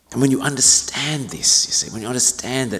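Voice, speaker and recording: This is a man speaking. Room echo can be heard. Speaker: senior minister. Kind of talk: sermon. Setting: church.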